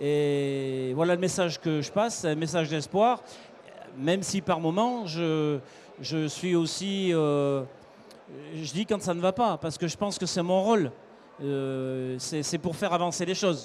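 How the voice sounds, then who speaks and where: Long, frequent pauses break up a man's fairly slow speech. His pitch is fairly high, with ordinary variation. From France, Haute-Loire. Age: 60s. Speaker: cattle export salesman. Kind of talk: interview.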